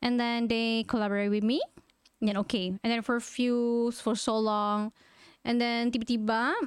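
On a very clean recording with a silent background, a woman with a Malaysian accent speaks at a fairly high pitch in a monotone, flat intonation. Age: 30s. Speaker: content creator. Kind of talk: interview.

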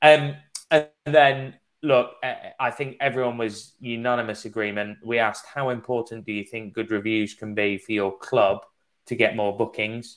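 A man speaks in an English accent with fairly even intonation. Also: medium pitch for a man, moderate pace. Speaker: webinar host, sales manager. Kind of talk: webinar moderation.

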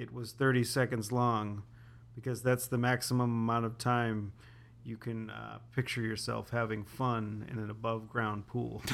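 This man speaks with an American accent at a medium pitch. His pace is moderate and his intonation monotone and flat. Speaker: podcast co-host. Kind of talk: casual chat.

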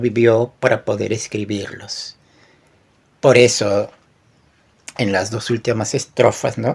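A somewhat breathy man at medium pitch, with a fairly slow pace, monotone, flat intonation and long, frequent pauses. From Peru. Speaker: poet. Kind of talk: poetry reading; casual chat.

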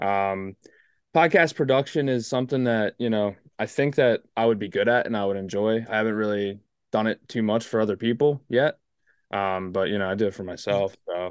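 In an American accent, a man with an ordinary speaking voice talks at a fairly quick pace and fairly low pitch, his intonation fairly even, the sound dry and close with no echo and the background quiet. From US East Coast. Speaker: podcast host. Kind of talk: casual chat.

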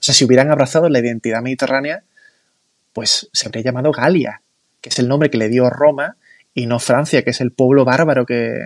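A man talks at a fairly quick pace with medium pitch and ordinary pitch variation. The sound is dry and close, with no echo. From Spain, Málaga. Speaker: founder of a cultural movement. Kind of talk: casual interview.

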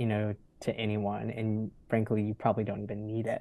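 A man speaks with an American accent. His voice is fairly low, with a dark, mellow tone. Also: quiet background. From US South, North Florida. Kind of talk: interview conversation.

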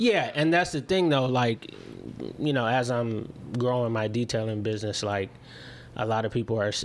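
With a Chicago accent, a man speaks at a moderate pace and medium pitch, ordinary pitch variation, and long, frequent pauses. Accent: Chicago-area American. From Illinois, Chicago suburbs. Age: 30s. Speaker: entrepreneur. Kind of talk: casual chat.

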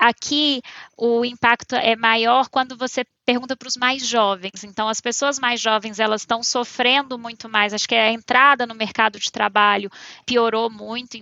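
A woman speaks at a moderate pace with a fairly high pitch. Her intonation is monotone and flat, and her loudness swings widely. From Minas Gerais interior, Brazil. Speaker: economist, consulting director. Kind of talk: interview.

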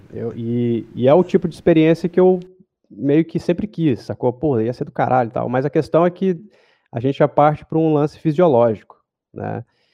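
A plain, everyday voice from a man, fairly high pitched, moderate in pace, ordinary in pitch variation. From Goiânia, Brazil. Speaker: motion designer. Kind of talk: casual interview.

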